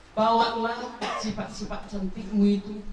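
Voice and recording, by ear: A woman at a medium pitch with a slightly mellow tone, a fairly slow pace and little pitch movement, plus audible room echo.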